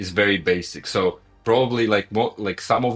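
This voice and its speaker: With a non-native accent, a man talks at a moderate pace with ordinary pitch variation. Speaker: gaming streamer. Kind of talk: casual chat. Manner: halting, many repetitions.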